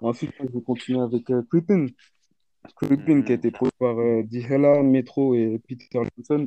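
Speaking at a moderate pace with fairly even intonation, a man uses an ordinary speaking voice at a medium pitch. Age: 20s. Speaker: beatmaker. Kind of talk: casual chat, album review.

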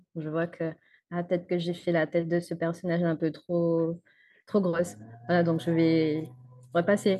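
A woman speaks at a moderate pace with a fairly low pitch. Her speech has long, frequent pauses. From Guadeloupe. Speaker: motion designer. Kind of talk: interview. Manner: hesitant.

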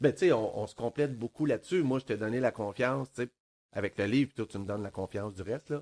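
Speaking very fast with a Quebec accent, a man keeps a medium pitch and ordinary pitch variation in a dry, close sound with no echo. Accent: Québécois French. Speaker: podcast co-host, author. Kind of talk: casual chat.

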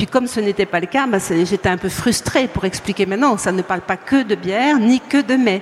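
A woman talking at a fairly quick pace with hardly any pauses, over noticeable background noise. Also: medium pitch for a woman, ordinary pitch variation. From France, Franche-Comté. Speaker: beer sommelier, author and editor. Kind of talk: conference talk. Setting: stage with live audience at a trade fair.

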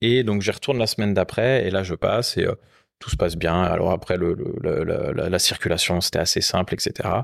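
In a plain, everyday voice, the speaker goes at a moderate pace with ordinary pitch variation, the sound dry and close with no echo on a very clean recording with a silent background. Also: man. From Rennes, Brittany, France. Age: 30s. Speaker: motorcycle workshop co-owner. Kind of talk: casual chat. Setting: motorcycle workshop.

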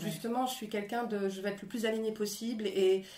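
Noticeable background noise accompanies a woman speaking at a fairly high pitch. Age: 40s. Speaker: actress and screenwriter. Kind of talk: interview. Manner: animated; halting.

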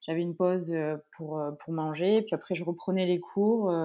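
Fairly low in pitch, a woman's voice comes through on a very clean recording with a silent background. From France. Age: 30s. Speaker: professional triathlete. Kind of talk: interview.

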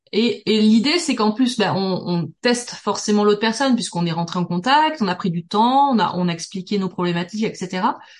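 A woman's fairly high, somewhat breathy voice at a moderate pace, with lively intonation. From southern France, Toulouse. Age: 40s. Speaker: business networking expert. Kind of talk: podcast interview.

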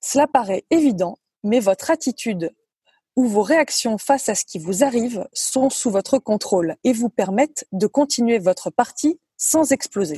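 A woman speaks at a fairly slow pace in a high voice with a dark, mellow tone and lively intonation, the sound dry and close with no echo. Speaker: former professional golfer. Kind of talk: prepared column. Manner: talkative.

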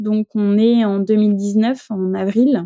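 A woman's dark, mellow, medium-pitched voice comes through in a monotone, flat delivery, with a dry, close sound and no echo. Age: 30s. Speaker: nurse and mother sharing infertility story. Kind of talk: testimony. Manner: hesitant, many fillers.

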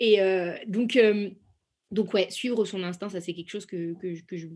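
A woman with a normal speaking voice talks at a medium pitch and moderate pace over a quiet background. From France, Saint-Étienne. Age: 20s. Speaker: entrepreneur and export product manager. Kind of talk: interview.

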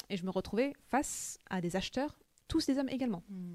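A woman's dark, mellow tone comes through a very clean recording with a silent background and a dry, close sound with no echo. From France (Paris) with childhood in the US. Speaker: tech sales manager. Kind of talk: interview. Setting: company office.

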